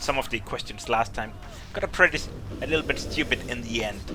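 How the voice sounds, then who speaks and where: A man with a Danish accent speaks over noticeable background noise. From Denmark. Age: 20s. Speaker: gaming YouTuber. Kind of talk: Q&A video talk to viewers. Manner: casual, with hesitations.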